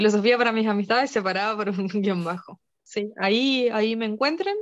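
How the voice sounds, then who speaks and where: Her intonation stays fairly even as this woman talks at a medium pitch. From northeastern Argentina, near Brazil and Paraguay border. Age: adult, mother. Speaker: philosophy teacher. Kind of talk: casual interview. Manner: halting, frequent repetitions.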